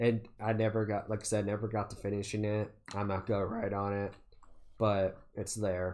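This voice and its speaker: A man's fairly low-pitched, monotone, flat delivery over a quiet background. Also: moderate pace. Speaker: gaming YouTuber. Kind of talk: solo gameplay commentary. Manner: halting, many fillers; casual.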